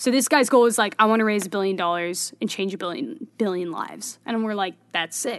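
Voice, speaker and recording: A woman with an American accent uses a plain, everyday voice, fairly high in pitch and fairly quick, with ordinary pitch variation. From Bay Area, California. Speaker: filmmaker and startup founder. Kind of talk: casual interview conversation.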